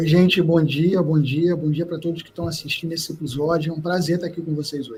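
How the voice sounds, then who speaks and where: Monotone, flat intonation in a Rio de Janeiro accent, a fairly quick pace with hardly any pauses, and noticeable background noise. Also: man, fairly high pitch for a man. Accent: carioca. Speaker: entrepreneur. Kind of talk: podcast interview.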